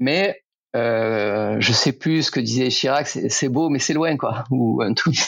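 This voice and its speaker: On a very clean recording with a silent background, a man at a medium pitch speaks at a very slow pace with ordinary pitch variation and very even loudness. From France, Aveyron (Rodez). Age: 40s. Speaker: former footballer and cycling event organizer. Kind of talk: casual interview. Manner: hesitant, many fillers and repetitions.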